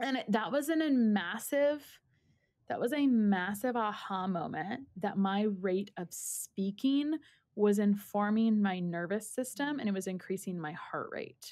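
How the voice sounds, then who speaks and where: Speaking at a fairly slow pace, a woman with an unremarkable speaking voice uses lively intonation at a medium pitch. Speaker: dietitian nutritionist. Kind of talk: casual chat.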